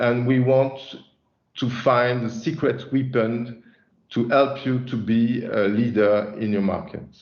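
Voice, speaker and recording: Speaking very slowly in a French accent, a man holds a medium pitch with fairly even intonation. Audible room echo surrounds his voice. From France. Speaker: chief product officer presenting a software release. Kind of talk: webinar presentation. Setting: online webinar. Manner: halting, many fillers and repetitions.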